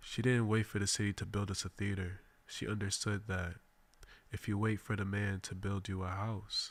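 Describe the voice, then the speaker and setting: A man's somewhat breathy, fairly low voice, monotone and flat at a moderate pace, on a very clean recording with a silent background. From Boston, Mattapan. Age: 20s. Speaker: radio host. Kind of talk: radio monologue. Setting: radio studio. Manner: formal.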